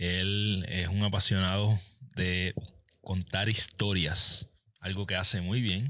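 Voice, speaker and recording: Very slowly and with fairly even intonation, a man speaks in a very deep, low pitch with a bright, sharp tone over a quiet background. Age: 40s. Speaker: podcast host and habits coach; podcast host, habits coach. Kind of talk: interview podcast. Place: studio. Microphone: studio mic.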